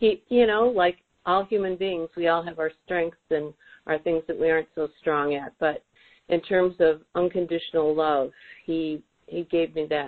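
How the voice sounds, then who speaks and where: A normal speaking voice, moderately paced, its pitch varying in an ordinary way. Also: woman, fairly low pitch for a woman. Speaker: client in private session. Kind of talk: private session, personal conversation. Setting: phone call.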